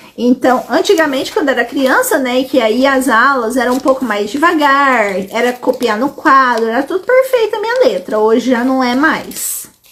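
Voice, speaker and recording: Noticeable background noise sits under a woman's high-pitched voice with lively intonation. She keeps a moderate pace with hardly any pauses. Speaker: educational psychologist. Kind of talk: live stream Q&A. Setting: live stream on social media.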